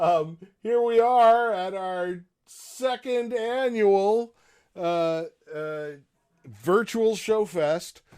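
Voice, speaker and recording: Music plays behind a man speaking at a high pitch with ordinary variation. He goes very slowly, with long, frequent pauses. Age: old. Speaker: professor and event announcer. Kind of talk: event introduction. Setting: virtual video event. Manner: hesitant, many fillers.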